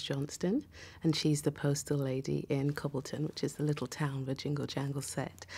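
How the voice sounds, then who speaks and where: A woman's dark, mellow tone. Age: 40s. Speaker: actress; actor. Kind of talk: interview. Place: studio.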